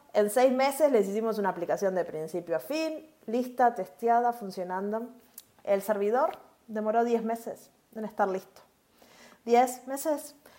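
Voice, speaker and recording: Speaking with a Uruguayan accent, a woman uses lively intonation and a fairly high pitch. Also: fairly slow pace. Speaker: cloud developer advocate, podcast co-host. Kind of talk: casual tech chat.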